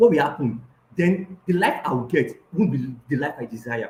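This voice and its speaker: A man speaks with a Nigerian accent. His tone is dark and mellow. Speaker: life coach. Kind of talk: online coaching session. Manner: hesitant, many fillers.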